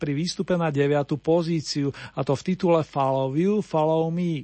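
A man talks in an upbeat tone. His pitch is high. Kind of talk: radio DJ patter introducing oldies songs, warm and polished. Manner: smooth, upbeat, chatty, with a friendly, slightly formal old-school radio tone.

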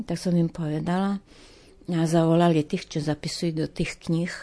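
A woman with an eastern Slovak accent speaks at a fairly low pitch with a dark, mellow tone. Her intonation is monotone and flat. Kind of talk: testimony.

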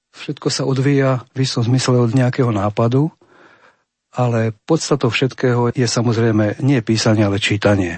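At a moderate pace, a man speaks at a medium pitch with very even loudness, fairly even intonation and a somewhat breathy sound. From central Slovakia, Banská Bystrica. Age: 50s. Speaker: poet. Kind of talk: interview.

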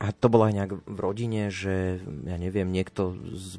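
Music sits in the background as a man with a very deep, low pitch talks at a moderate pace with fairly even intonation. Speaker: radio host. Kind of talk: casual radio chat. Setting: radio studio.

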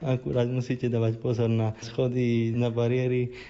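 A man speaks in a monotone, with flat intonation. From Slovakia, Rimavská Sobota. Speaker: doctoral student, wheelchair user. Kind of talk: interview.

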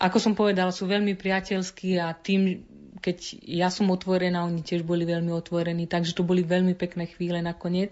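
A woman talks at a fairly quick pace with medium pitch. Her intonation is monotone and flat. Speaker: missionary nun and nurse. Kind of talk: interview.

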